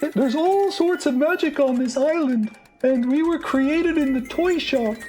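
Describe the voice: A put-on character voice, high in pitch, at a moderate pace.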